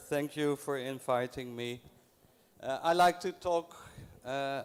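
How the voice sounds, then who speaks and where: Speaking at a fairly slow pace, a man uses a fairly high pitch and fairly even intonation. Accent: Dutch. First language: Dutch. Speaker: library program coordinator. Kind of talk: conference talk. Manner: slow, deliberate; halting.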